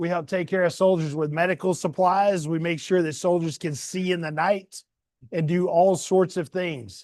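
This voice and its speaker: A man with a high pitch talks at a moderate pace with fairly even intonation against a quiet background. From US South. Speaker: community leader reading to children. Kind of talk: storytime talk to children. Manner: casual, folksy.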